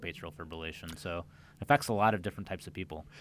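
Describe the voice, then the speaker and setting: This man has a very deep, low pitch and a bright, sharp tone, in an American accent. He talks at a fairly quick pace on a very clean recording with a silent background. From US Midwest, central Illinois. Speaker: cardiologist. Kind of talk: radio interview.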